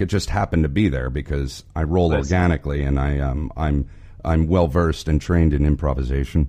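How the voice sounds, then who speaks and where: A man talks at a moderate pace with a very deep, low pitch. Noticeable background noise can be heard. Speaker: podcast co-host. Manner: sarcastic, brash.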